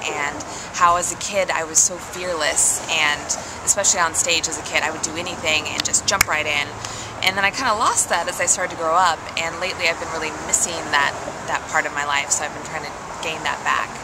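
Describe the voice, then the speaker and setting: A woman speaks over loud background noise. The sound is dry, with no echo. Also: fairly quick pace. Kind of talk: interview answer. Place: tent. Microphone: phone near.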